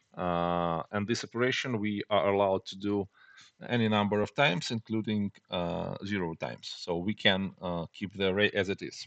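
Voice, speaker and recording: A man's fairly low voice with a non-native accent, moderate in pace with ordinary pitch variation, dry and close with no echo over a quiet background. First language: not English. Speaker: programming tutor. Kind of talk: tutorial. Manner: halting, many fillers.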